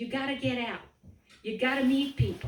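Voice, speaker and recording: A woman with a Serbian accent talks at a moderate pace, with audible room echo and noticeable background noise. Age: 50s. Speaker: political candidate. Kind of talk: campaign speech. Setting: meeting in a private home.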